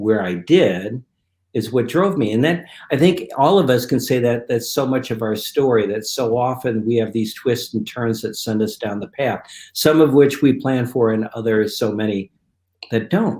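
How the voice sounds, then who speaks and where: A man speaks at a moderate pace in a plain, everyday voice, with medium pitch and ordinary pitch variation. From Detroit, US Midwest. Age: 60s. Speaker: guest co-host. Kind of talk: testimony. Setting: live video stream.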